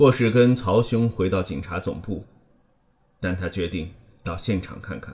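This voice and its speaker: A man speaks in a solemn tone with ordinary pitch variation. His voice is somewhat breathy. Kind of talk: literary audiobook reading, third-person crime fiction narration. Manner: measured, even and solemn, with a grave, suspenseful tone; steady narrator's pace, unhurried, with little emotional colouring.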